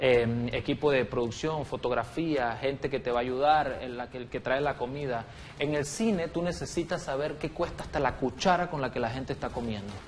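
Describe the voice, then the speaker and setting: Over music in the background, the speaker keeps a moderate pace with hardly any pauses and ordinary pitch variation. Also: man, medium pitch for a man. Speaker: film producer and comedian. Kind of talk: interview.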